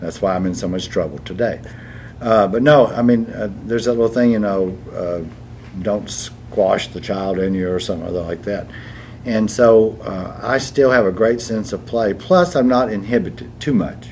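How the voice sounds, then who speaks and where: Moderate-paced speech from a man, fairly low in pitch, ordinary in pitch variation, with audible room echo. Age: 80s+. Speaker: stage actor. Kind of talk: casual chat.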